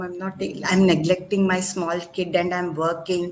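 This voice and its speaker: A woman with a medium pitch talks at a moderate pace. Noticeable background noise runs underneath. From India, Andhra Pradesh. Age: 50s. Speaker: academic, doctorate holder. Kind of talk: interview conversation.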